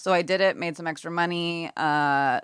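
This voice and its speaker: In a Canadian accent, a woman speaks with a very deep, low pitch and ordinary pitch variation, recorded very cleanly against a silent background with a dry, close sound and no echo. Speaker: makeup artist and model. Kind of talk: casual interview chat.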